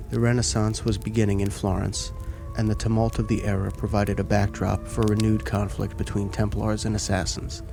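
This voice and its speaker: A man's soothing, calm tone at a fairly quick pace, with music in the background. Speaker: ASMR content creator. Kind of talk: ASMR book reading for sleep.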